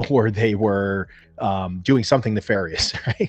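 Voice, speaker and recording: A man with a New Jersey accent speaks at a moderate pace. His pitch is fairly low, and the background is quiet. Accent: New Jersey American. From US, New Jersey. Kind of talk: casual chat. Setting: video call.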